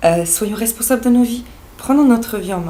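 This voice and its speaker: A woman talks with ordinary pitch variation while noticeable background noise is present. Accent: Serbo-Croatian. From Bosnia (Sarajevo). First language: Serbo-Croatian (speaking French). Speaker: naturopath and life coach. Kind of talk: vlog monologue. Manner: hesitant, many fillers.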